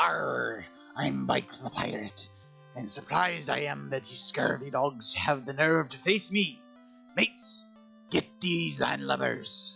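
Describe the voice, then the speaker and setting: Someone performs a put-on character voice at a fairly slow pace, with clear music playing in the background. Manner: gruff, swaggering.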